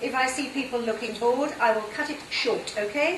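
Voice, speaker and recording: A high-pitched woman with a British accent and lively intonation, plus audible room echo and noticeable background noise. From southern England, near London. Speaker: conference interpreter and trainer. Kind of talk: talk to an audience.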